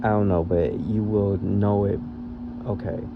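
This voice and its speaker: Over music in the background, a man speaks loudly with audible room echo. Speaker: spiritual tarot reader. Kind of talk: channelled reading for viewers. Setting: audio-only podcast recording.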